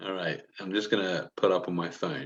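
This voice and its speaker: A man speaks with an English accent. His voice is very deep and low. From England. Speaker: homebrewer, beer enthusiast. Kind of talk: casual livestream beer tasting chat. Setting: live video stream.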